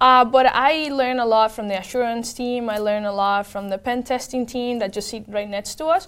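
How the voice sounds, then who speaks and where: With a Spanish accent, a woman talks at a fairly quick pace. Her pitch is fairly high, with ordinary pitch variation. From Venezuela. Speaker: tech program manager. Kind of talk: interview.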